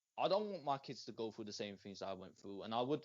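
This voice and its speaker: With an English Midlands accent, a man speaks with very wide pitch swings. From England, Northamptonshire (Rushden). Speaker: rapper. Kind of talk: interview. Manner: halting, many fillers.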